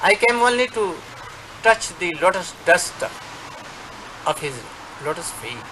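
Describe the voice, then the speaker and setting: A man with an Indian accent and lively intonation, over noticeable background noise. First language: Hindi or Bengali. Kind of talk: address to followers. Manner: halting.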